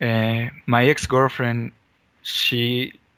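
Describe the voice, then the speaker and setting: Speaking with a non-native accent, a man talks at a very slow pace. His medium pitch carries a monotone, flat intonation. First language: not English. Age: 20s. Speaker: caller. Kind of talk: call-in conversation. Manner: halting.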